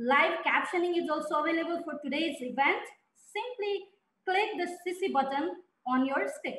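Audible room echo fills the recording. The pace is moderate. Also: woman, extremely high pitch for a woman. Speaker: webinar moderator. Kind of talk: event moderation, welcome remarks. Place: home room. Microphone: headset.

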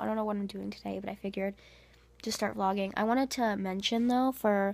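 The voice belongs to a woman. She talks at a fairly quick clip. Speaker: vlogger. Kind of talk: casual vlog chat. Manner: drowsy, lying-down sick voice. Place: home room. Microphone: phone near.

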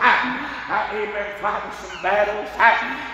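Someone with an American accent talks at a very slow pace amid strong room echo and noticeable background noise. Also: man. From US South. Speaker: preacher. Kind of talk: sermon. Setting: church. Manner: animated; fervent. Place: church.

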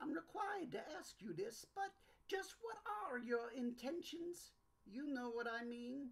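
This female-sounding voice sits high in pitch, swings very widely up and down, and moves at a moderate pace. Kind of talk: 1950s radio acting. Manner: unctuous, salesman-smooth.

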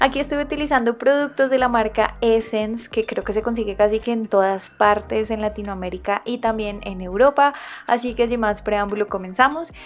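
In a Colombian accent, a woman with a fairly high voice speaks at a moderate pace. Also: ordinary pitch variation. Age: 20s. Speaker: nail art youtuber. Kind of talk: casual tutorial voice-over.

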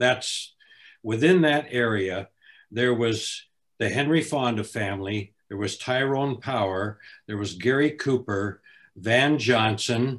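A man's very slow speech with an American accent, medium pitch, ordinary pitch variation, and a quiet background. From Los Angeles. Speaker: author and former actor; guest. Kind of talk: panel interview. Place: home room.

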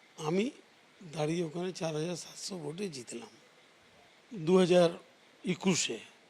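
A man's high voice with ordinary pitch variation and big swings in loudness. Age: 60s. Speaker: local politician. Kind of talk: news interview. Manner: halting.

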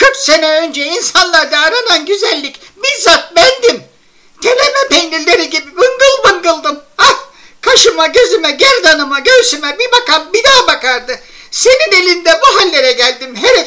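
Someone uses a put-on character voice at an extremely high pitch with very wide pitch swings. The pace is moderate. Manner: scolding, self-pitying.

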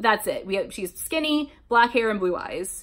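Very wide pitch swings mark a woman's animated tone. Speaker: YouTuber reading fan fiction. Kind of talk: casual chat. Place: home room. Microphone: webcam.

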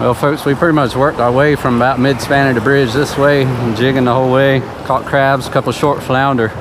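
At a fairly quick pace and with fairly even intonation, the speaker comes through in a dry sound with no echo, over noticeable background noise. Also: man. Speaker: fishing vlogger. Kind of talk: casual vlog chat. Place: boat. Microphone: camera far.

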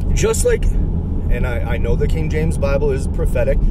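Loud background noise runs under a man speaking at a moderate pace. The sound is dry, with no echo. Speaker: religious video blogger. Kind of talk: casual religious monologue. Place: car. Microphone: phone near.

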